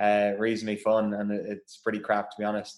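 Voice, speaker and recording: Here a man speaks at a very fast pace with a medium pitch. The recording is very clean, with a silent background. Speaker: professional rugby player. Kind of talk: casual interview chat.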